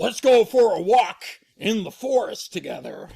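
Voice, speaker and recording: Someone does a raspy, put-on character voice at a moderate pace. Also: man, extremely high pitch for a man. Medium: read story.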